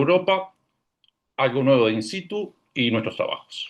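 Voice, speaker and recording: Against a quiet background, a man with a fairly high pitch speaks at a moderate pace, his voice swinging very widely in pitch. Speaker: radiation oncology professor. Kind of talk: scientific presentation.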